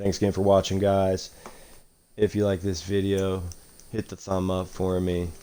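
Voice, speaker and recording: A man with a very deep, low pitch and a dark, mellow tone speaks in a monotone, flat intonation at a moderate pace, leaving long, frequent pauses. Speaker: gaming YouTuber. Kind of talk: gameplay commentary. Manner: casual, hesitant with fillers.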